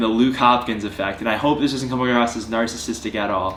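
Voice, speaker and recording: There is audible room echo and noticeable background noise as a man talks at a medium pitch. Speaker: fitness vlogger. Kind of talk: vlog monologue to camera. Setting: at home on couch. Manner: earnest.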